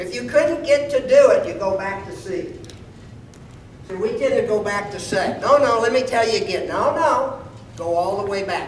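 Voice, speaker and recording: Noticeable background noise runs beneath talking delivered at a moderate pace. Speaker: karate instructor. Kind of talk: seminar lecture. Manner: animated.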